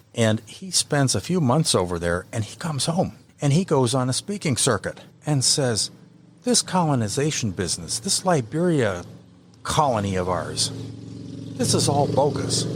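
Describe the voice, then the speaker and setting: With an American accent, a man speaks at a medium pitch and a moderate pace. His voice has vocal fry and very wide pitch swings. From Iowa, US Midwest. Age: 70s. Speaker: local historian. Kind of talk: podcast interview.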